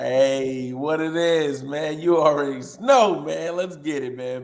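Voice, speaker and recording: There is audible room echo around this voice. A man with a Louisiana accent speaks at a fairly high pitch. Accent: Louisiana twang. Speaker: sports radio host. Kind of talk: casual chat. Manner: animated.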